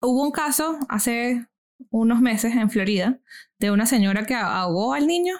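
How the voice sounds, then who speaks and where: On a very clean recording with a silent background, a woman speaks at a moderate pace in a fairly high pitch with lively intonation. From Venezuela. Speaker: podcast host, guest here. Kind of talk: casual discussion.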